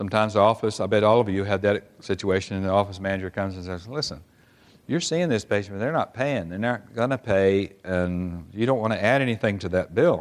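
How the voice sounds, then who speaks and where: In a normal speaking voice with an American accent, the speaker moves at a fairly quick pace with ordinary pitch variation against a quiet background. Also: man, fairly low pitch for a man. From Oklahoma. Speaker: physician assistant. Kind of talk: conference lecture. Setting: stage with audience.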